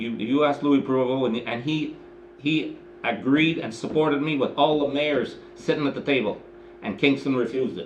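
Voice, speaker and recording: A man with a fairly high voice talks at a moderate pace, his intonation fairly even, with audible room echo around him. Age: 70s. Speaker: mayor chairing council meeting. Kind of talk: council meeting discussion. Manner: halting, repetitive.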